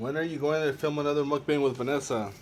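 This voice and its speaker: This man talks very fast, his voice set at a fairly high pitch. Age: 20s. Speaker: YouTuber. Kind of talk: casual vlog Q&A while eating. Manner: halting, repeats words.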